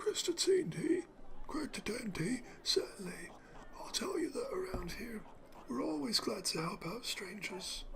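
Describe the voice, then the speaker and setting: Using a put-on character voice, a man speaks with an extremely high pitch and a gravelly sound at a moderate pace. Background noise is noticeable. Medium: solo performance. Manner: sly, rustic.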